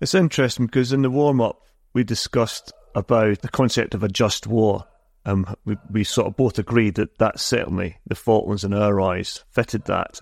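A man with an ordinary speaking voice, medium pitch, ordinary pitch variation and a moderate pace, in a very clean, dry, close recording with no echo and a silent background. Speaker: podcast host. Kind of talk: interview.

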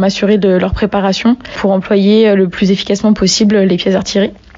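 A woman's monotone, flat delivery against noticeable background noise. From Brittany, France. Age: 20s. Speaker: army non-commissioned officer. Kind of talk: interview. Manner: hesitant, with frequent fillers.

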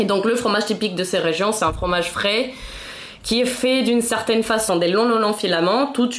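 Amid noticeable background noise and audible room echo, a woman speaks at a fairly high pitch with ordinary pitch variation and very even loudness. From Mexico City. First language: Spanish (speaking French). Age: 20s. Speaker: podcast guest. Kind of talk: casual chat.

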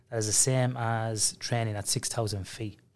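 A medium-pitched man with an Irish accent. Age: 40s. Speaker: sleep researcher. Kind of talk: casual interview chat.

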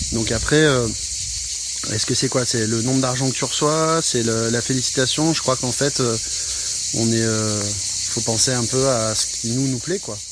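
With noticeable background noise and audible room echo, a man speaks at a medium pitch with fairly even intonation. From Provence, southern France. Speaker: musician. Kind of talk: casual conversation. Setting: outdoors.

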